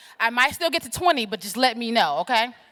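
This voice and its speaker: A woman's fairly high, bright, sharp voice with a slight Southern US accent, animated tone and lively intonation, on a very clean recording with a silent background. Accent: slight Southern twang. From US South, Atlanta. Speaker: keynote speaker, political organizer. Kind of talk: keynote speech. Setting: stage with audience. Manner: fast.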